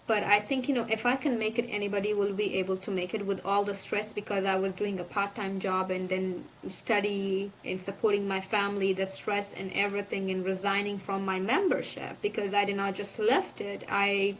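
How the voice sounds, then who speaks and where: In an Afghan accent, a woman talks with medium pitch and monotone, flat intonation, hardly pausing at all. Noticeable background noise runs underneath. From Afghanistan, Kandahar. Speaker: former provincial council member. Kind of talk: interview. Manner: fast.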